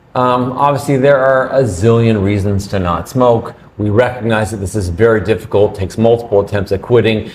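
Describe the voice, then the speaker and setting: A man speaks at a fairly quick pace in a medium pitch, with ordinary pitch variation and hardly any pauses. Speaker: physician podcast co-host. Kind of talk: casual health discussion. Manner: loud.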